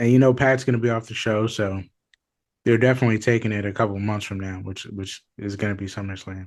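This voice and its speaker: Over a quiet background, a man speaks very fast with a fairly low pitch. His intonation stays fairly even while his loudness swings widely. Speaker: wrestling podcast co-host. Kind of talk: casual chat.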